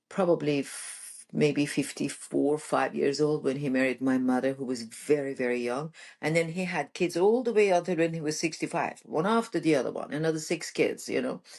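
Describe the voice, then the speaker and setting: A woman's very deep, low voice in a Persian accent, lively intonation, a moderate pace with hardly any pauses, and a quiet background. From Iran. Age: 60s. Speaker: relationship coach. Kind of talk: podcast interview, personal story. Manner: animated.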